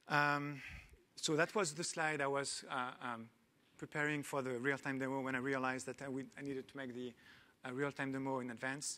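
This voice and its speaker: With a French accent, a man speaks at a fairly quick pace in a medium pitch, his intonation monotone and flat. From France. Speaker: tech company founder and CEO. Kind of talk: panel talk. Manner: hesitant with many fillers.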